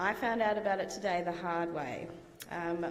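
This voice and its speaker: A woman with an Australian accent speaks at a medium pitch, with noticeable background noise and audible room echo. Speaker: guest lecturer, IT consultant. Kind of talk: lecture. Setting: lecture theatre with audience. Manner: hesitant, many fillers. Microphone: microphone problems, hard to hear at first.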